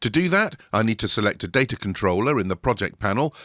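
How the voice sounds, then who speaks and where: A man with a British accent speaks at a medium pitch, with a bright, sharp tone and lively intonation. His moderate pace comes through a very clean recording with a silent background and a dry, close sound with no echo. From Britain. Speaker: software tutorial presenter. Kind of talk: tutorial.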